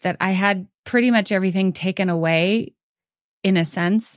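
A woman with an ordinary speaking voice talks at medium pitch and a moderate pace, with fairly even intonation. The recording is very clean with a silent background, and the sound is dry and close with no echo. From US West Coast, San Francisco Bay Area. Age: 50s. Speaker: former middle school teacher, book discussion guest. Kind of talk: casual book discussion.

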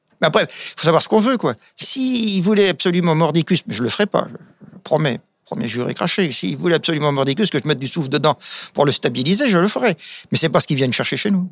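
Lively intonation and a very fast pace from a man pitched high. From France, wine village. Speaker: winemaker. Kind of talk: casual interview.

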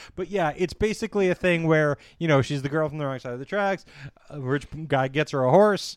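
Very clean recording, silent background, with a man speaking at fairly high pitch. His pace is fairly quick and his pitch variation ordinary. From Canada. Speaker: podcast host. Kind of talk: casual chat. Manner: halting, many fillers.

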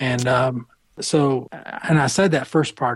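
A somewhat breathy male voice with an American accent, medium in pitch and fairly even in intonation. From US South, Atlanta. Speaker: spiritual director and mentor. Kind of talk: interview. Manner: halting.

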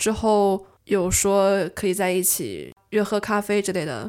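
Over a silent background in a very clean recording, a woman with a plain, everyday voice speaks fairly slowly at a medium pitch with fairly even intonation. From China. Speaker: amateur stage actress, university student. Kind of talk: casual interview chat.

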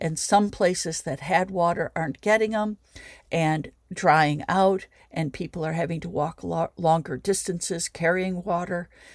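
With an American accent, a woman speaks at a moderate pace in a fairly low pitch and fairly even intonation, on a very clean recording with a silent background. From US Midwest. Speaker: sculptor and environmentalist. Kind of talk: interview.

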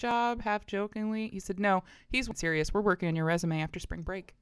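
Lively and fairly quick, a woman with an American accent uses a plain, everyday voice on a very clean recording with a silent background. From Florida (Bradenton). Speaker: church worship staff member. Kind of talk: casual chat. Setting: church building, cold upstairs room.

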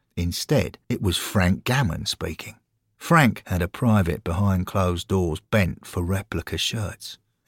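A fairly low-voiced man with an English accent at a moderate pace, on a very clean recording with a silent background and a dry, close sound with no echo. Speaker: narrator and voice actor reading fiction. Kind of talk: dramatic narration of comic fantasy fiction, with character voices. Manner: animated, theatrical, doing character voices.

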